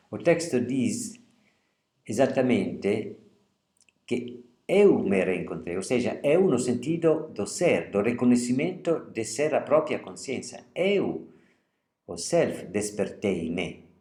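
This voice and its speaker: Slow to a crawl and broken by long, frequent pauses, a dark, mellow voice in an Italian accent makes very wide pitch swings amid audible room echo. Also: man, medium pitch for a man. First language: Italian (speaking Portuguese). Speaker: literature lecturer. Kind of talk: lecture; reading aloud.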